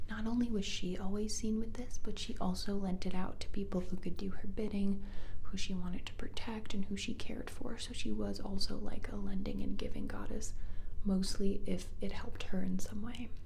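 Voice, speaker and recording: Noticeable background noise runs behind a soft-spoken woman. She whispers at a moderate pace. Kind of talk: ASMR mythology chat. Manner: soft-spoken, whispery, rambling.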